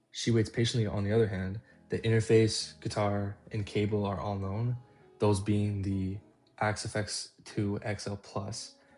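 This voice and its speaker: Over music in the background, a man speaks at a moderate pace with monotone, flat intonation. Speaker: guitarist. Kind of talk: guitar tone tutorial narration.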